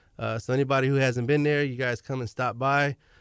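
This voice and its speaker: In an American accent, a man with a medium-pitched voice talks fairly quickly in a monotone, flat delivery. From Galveston, Texas. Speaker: restaurant manager. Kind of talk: radio interview. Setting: studio.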